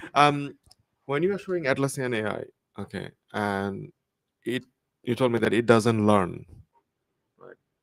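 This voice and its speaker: A man with a non-native accent speaks with lively intonation. His loudness swings widely, and he takes long, frequent pauses. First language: not English. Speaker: audience member asking questions. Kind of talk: Q&A after a talk.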